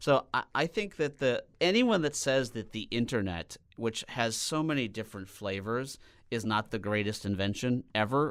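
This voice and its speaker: Very clean recording, silent background: a man with an unremarkable speaking voice and an American accent talks at medium pitch with lively intonation. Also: moderate pace. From Minnesota, US Midwest. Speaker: business executive. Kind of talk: podcast interview.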